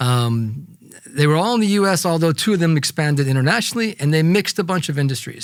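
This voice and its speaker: On a very clean recording with a silent background, a man talks with an American accent. He has an ordinary speaking voice with a fairly high pitch and lively intonation. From United States. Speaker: podcast host, investor. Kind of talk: casual chat.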